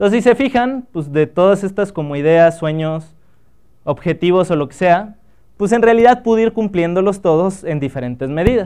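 A man's high-pitched voice with a dark, mellow tone, lively intonation and a moderate pace, against a quiet background. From Mexico, Acapulco (Guerrero); Guerrero, Mexico. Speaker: biotechnologist and entrepreneur giving a talk; guest. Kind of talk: workshop talk to students; lecture. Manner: casual, conversational with filler words. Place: hall.

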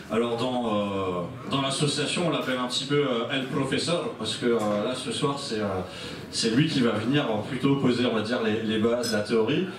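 A man at medium pitch speaks fairly slowly with ordinary pitch variation, noticeable background noise and audible room echo. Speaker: event host. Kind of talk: event hosting. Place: hall.

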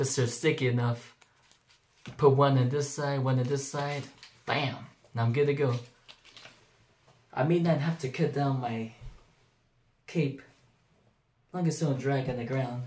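A man speaks at a moderate pace with fairly even intonation. He leaves long, frequent pauses. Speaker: home craft vlogger. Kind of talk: casual vlog chat. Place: home room. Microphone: phone near.

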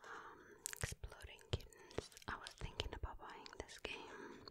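Soft-spoken whispering at a fairly slow pace. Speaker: ASMR creator. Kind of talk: soft-spoken ASMR chat and reading. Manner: soft ASMR whisper.

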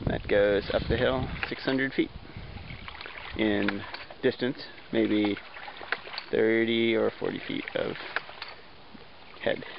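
Over noticeable background noise, a man speaks at a very slow pace with long, frequent pauses in a dry recording with no echo. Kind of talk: casual explanatory walkthrough. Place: forest. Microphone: phone near.

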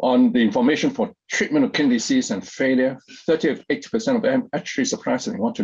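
A man races along at a very fast pace with very wide pitch swings against a quiet background. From Hong Kong. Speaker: kidney foundation president; presenter. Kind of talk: webinar presentation. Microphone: webcam.

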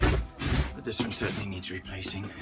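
Clear music plays behind a man who speaks at a moderate pace and a fairly low pitch. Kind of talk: casual explanation while working.

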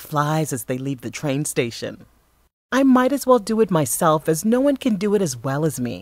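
This woman's voice sits very deep and low, with very wide pitch swings. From Bahamas. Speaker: voice artist. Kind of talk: narration demo.

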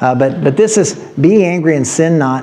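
Light background noise sits behind this recording. The man speaking has lively intonation. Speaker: pastor. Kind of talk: sermon. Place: church.

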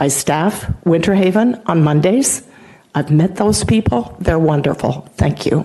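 A woman speaks fairly slowly at a fairly low pitch with lively intonation. Her loudness stays very even over noticeable background noise. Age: 70s. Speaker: retired nurse, public commenter. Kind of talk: public comment testimony. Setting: council meeting.

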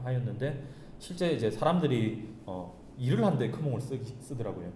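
A man with a slight Gyeongsang accent talks at a moderate pace with ordinary pitch variation, his voice carrying audible room echo over light background noise. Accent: Gyeongsang dialect tinge. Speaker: startup founder; guest. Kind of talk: talk show interview. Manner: hesitant, many fillers. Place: meeting room. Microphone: camera far.

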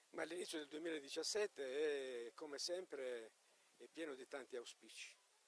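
This man has a plain, everyday voice. His pitch sits fairly high, with ordinary variation. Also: fairly slow pace. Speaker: town mayor. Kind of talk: interview.

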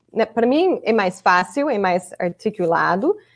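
Against a quiet background, a woman is talking. Her intonation is lively. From Chicago, US Midwest. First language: English (speaking Portuguese). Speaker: English teacher. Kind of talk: casual chat. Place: home room. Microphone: video call.

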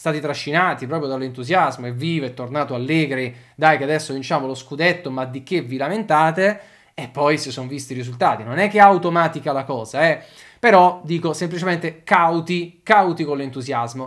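A man's voice swings widely in loudness, with ordinary pitch variation. The background is quiet. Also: fairly quick pace. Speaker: football channel host. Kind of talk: commentary. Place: home room.

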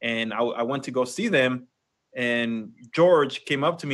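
The background stays quiet. At a moderate pace, a man speaks with a bright, sharp tone. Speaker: podcast co-host. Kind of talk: casual podcast chat. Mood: relaxed, friendly. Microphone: video call.

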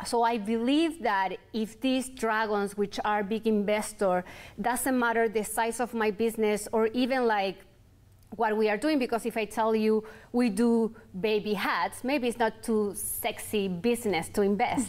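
A woman with a Chilean accent and a fairly high pitch speaks at a fairly slow pace with fairly even intonation. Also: very even loudness. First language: Spanish. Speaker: entrepreneur, clothing brand founder; guest. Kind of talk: interview. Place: studio.

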